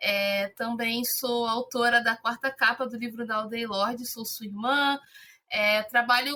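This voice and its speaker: This woman has a high voice and a monotone, flat delivery. Her pace is fairly slow. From Rio de Janeiro, Brazil. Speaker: content creator, publicist. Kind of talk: casual podcast conversation.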